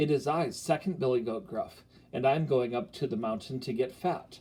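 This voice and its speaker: At a moderate pace and medium pitch, a man delivers his lines in a put-on character voice. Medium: read story.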